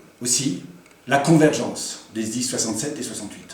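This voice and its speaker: Noticeable background noise and audible room echo surround the recording. A man speaks through it at a moderate rate. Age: 60s. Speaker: local politician. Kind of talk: campaign speech. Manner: formal.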